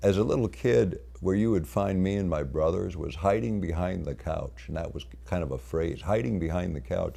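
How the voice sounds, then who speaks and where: A man speaks at a moderate pace with a very deep, low pitch and vocal fry. His tone is dark and mellow, with audible room echo around it. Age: 60s. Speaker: lecturer. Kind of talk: lecture. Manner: unscripted, halting with fillers.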